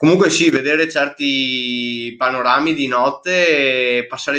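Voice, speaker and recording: Speaking at a fairly slow pace, a man uses a bright, sharp tone with fairly high pitch and fairly even intonation. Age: 20s. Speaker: mountain runner. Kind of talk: casual chat.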